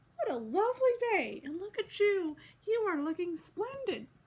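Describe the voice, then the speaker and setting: Putting on a character voice, a woman speaks at a moderate pace. Her pitch is extremely high and squeaky. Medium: read story. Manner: haughty.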